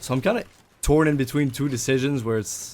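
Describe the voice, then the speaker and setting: Speaking at a fairly quick pace, a man talks with a non-native accent. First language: not English. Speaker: gaming streamer / vlogger. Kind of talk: casual vlog talk while gaming.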